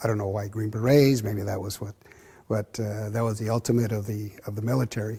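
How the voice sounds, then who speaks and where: A man with an American accent speaks at a fairly low pitch in a dark, mellow tone. His intonation is monotone and flat, and his pace is fairly quick. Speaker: boxing club founder, Vietnam-era veteran. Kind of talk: oral history interview answer. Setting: interview at boxing club.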